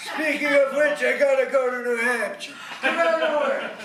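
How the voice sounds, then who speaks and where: Using a put-on character voice, a man speaks at a moderate pace. There is a slight echo and clear background noise. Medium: stage play.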